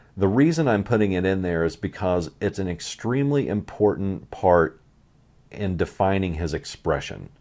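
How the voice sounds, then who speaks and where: Against a quiet background, a man with a very deep, low voice speaks at a moderate pace with lively intonation. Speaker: artist. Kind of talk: tutorial. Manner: soft-spoken.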